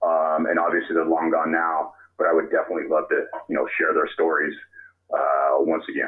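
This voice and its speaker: Here a man talks at a fairly quick pace. He has a Californian accent. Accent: Californian American English. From Sacramento area, California. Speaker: baseball author and researcher. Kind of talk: interview. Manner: halting, many fillers.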